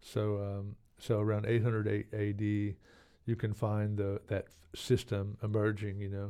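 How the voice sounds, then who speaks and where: A man's fairly low, dark, mellow voice with an American accent, flat and monotone at a fairly slow pace against a quiet background. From Oklahoma (Anadarko), later Texas. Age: 50s. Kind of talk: interview conversation. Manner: halting, many fillers and repetitions.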